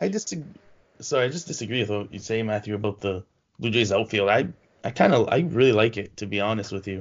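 Speaking at a very fast pace, a man lets his pitch vary in an ordinary way. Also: fairly low pitch for a man. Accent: Toronto. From Canada (Toronto). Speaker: sports podcast co-host. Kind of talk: casual chat.

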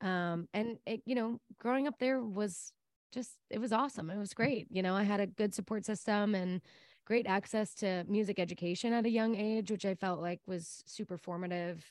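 An unremarkable speaking voice moves at a moderate pace with ordinary pitch variation, recorded very cleanly against a silent background with a dry, close sound and no echo. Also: woman, medium pitch for a woman. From Texas, Dallas area. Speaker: singer-songwriter. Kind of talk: interview.

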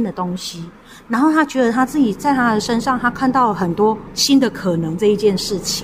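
A woman speaks at a moderate pace in a fairly high voice with lively intonation, over noticeable background noise. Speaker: elder care organizer. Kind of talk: interview.

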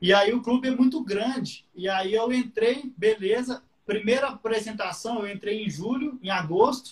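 With hardly any pauses, a man speaks at a high pitch. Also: ordinary pitch variation, moderate pace. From Minas Gerais, Brazil (Patos de Minas). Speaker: guitar teacher. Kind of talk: casual interview.

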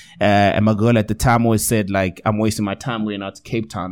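With a South African accent, a man talks with fairly even intonation. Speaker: radio DJ and TV presenter. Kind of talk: casual chat. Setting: studio.

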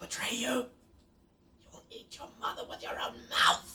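Someone whispers in a put-on character voice at a fairly slow pace. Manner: taunting, cruel.

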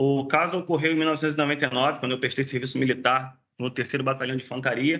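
A man with a fairly high pitch speaks at a fairly quick pace in a monotone, flat intonation. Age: 40s. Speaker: special effects technician. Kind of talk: casual chat. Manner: halting.

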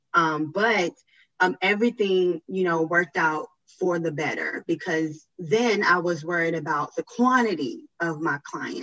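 With an American accent, a woman speaks at a fairly low pitch in a dry, close sound with no echo. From US South, Biloxi, Mississippi. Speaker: public relations professional. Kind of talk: interview. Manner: frequent hesitations (um).

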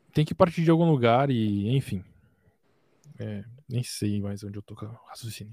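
A man's dark, mellow voice at medium pitch, with lively intonation, big swings in loudness, and long, frequent pauses. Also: moderate pace. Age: 20s. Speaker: music producer.

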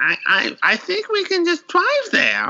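A man puts on a character voice at an extremely high pitch. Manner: cartoonish, exaggerated.

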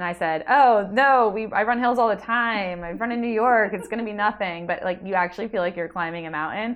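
A woman with an American accent talks fairly quickly with hardly any pauses, using an ordinary speaking voice at a medium pitch with ordinary pitch variation. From New Jersey, Jersey Shore area. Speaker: amateur marathon runner. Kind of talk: casual interview chat.

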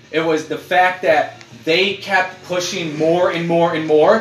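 A man's high-pitched, animated voice at a fairly slow pace, with ordinary pitch variation over noticeable background noise. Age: 30s. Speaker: podcast host. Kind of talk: casual chat.

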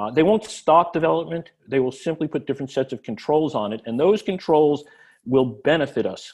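A man with an American accent in a normal speaking voice, fairly high in pitch, with lively intonation at a fairly quick pace over a quiet background. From New Jersey. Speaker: city mayor. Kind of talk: interview.

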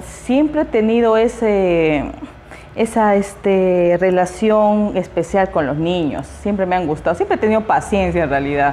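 A woman with a plain, everyday voice speaks at a medium pitch and a fairly slow pace. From Peruvian Amazon, Iquitos. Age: 30s. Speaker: preschool teacher and activist. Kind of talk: interview.

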